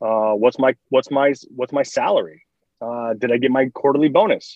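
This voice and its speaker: Using a normal speaking voice, a man with an American accent talks at a medium pitch with fairly even intonation. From Michigan, US. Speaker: athlete transition coach, podcast host. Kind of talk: interview conversation. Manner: casual, with many fillers and restarts.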